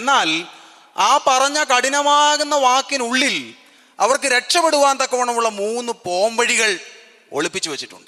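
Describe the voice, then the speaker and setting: A man speaks in a raised, projected voice at an extremely high pitch. His pitch varies in an ordinary way. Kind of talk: sermon, Bible exposition.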